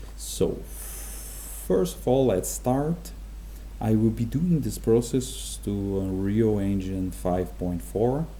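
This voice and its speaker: Someone with a Portuguese accent speaks at a very slow pace with long, frequent pauses, and audible room echo can be heard. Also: man. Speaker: game development tutorial creator. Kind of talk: tutorial. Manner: halting, many fillers.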